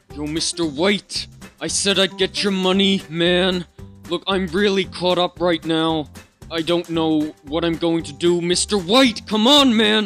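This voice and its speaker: Putting on a whiny character voice with a whiny tone, a man speaks at a high pitch with ordinary variation and a fairly slow pace over faint music in the background. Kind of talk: comic impression. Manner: whiny, pleading, slangy "yo" and "man".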